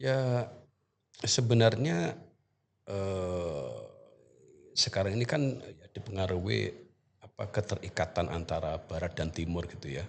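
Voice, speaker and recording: A man speaks at a fairly slow pace with lively intonation. His loudness swings widely from moment to moment. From East Java, Indonesia (Banyuwangi). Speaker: university lecturer in Arabic. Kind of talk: podcast interview. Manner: halting, many fillers.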